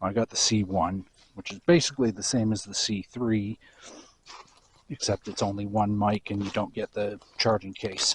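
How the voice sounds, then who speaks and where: Soft-spoken and at a moderate pace, the voice keeps fairly even intonation, dry and close with no echo. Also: man, fairly low pitch for a man. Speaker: vlogger. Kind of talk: casual walking vlog. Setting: outdoors walking dog on beach.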